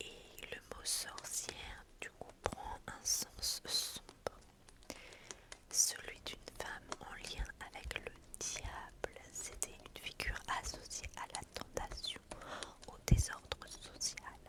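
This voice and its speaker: A woman whispers at a very slow pace, with big swings in loudness. Noticeable background noise is present. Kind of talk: ASMR history narration. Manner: whispered, soft.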